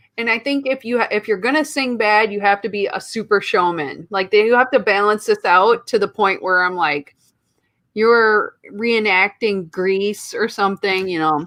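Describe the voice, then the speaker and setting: A woman with a Midwestern accent and a fairly high, bright, sharp voice talks at a moderate pace with ordinary pitch variation against a quiet background. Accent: Midwest. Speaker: podcast co-host. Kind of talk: casual chat. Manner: animated.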